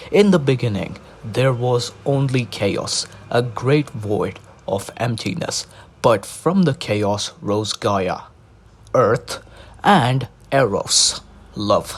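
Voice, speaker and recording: This man talks at a medium pitch and a very slow pace, with long, frequent pauses. His voice sounds somewhat breathy. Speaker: narrator reading mythology aloud. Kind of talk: casual intro; reading aloud. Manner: monotone.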